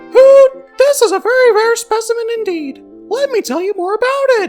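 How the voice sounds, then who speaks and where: A put-on character voice at an extremely high pitch, with faint music in the background. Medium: dub.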